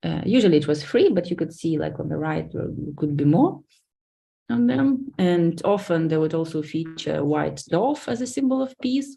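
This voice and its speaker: Woman with a Lithuanian accent, fairly low pitch, a dark, mellow tone, very wide pitch swings, and a moderate pace. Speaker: academic researcher. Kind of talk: lecture.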